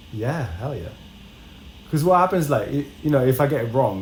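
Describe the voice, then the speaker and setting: Audible room echo surrounds a man's somewhat breathy voice. He speaks at a moderate pace with lively intonation. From France. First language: French. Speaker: podcast co-host. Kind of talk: casual chat.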